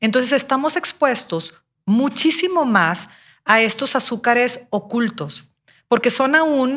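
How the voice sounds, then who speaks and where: A woman with a Mexican accent, fairly slow pace and lively intonation, on a very clean recording with a silent background. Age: 40s. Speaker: nutrition podcast co-host. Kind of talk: casual health podcast explanation.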